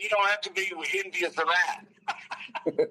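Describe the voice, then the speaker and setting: High-pitched male voice with a Southern US accent, over noticeable background noise. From US South, North Alabama. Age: 60s. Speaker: outdoor writer and journalist. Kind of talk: casual interview chat. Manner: halting, many restarts.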